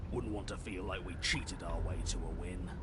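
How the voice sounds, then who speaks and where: A man does a put-on character voice at a fairly quick pace against loud background noise. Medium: game stream. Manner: stubborn, gruff.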